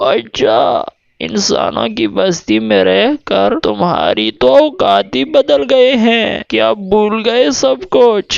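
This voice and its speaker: A cartoonish character voice drags along at a very slow pace. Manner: overfamiliar, menacing.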